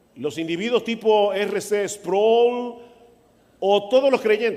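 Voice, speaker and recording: A man's high voice at a very slow pace, with fairly even intonation. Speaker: pastor. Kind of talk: sermon. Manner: soft-spoken.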